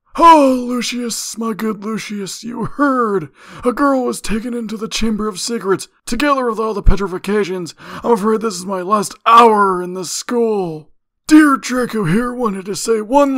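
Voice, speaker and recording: The voice is a shrill, put-on character voice. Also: man, high pitch for a man, moderate pace. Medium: read story. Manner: manic, gloating.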